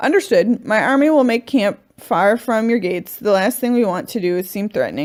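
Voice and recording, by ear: Someone is reading aloud in a natural voice. The words come out plainly.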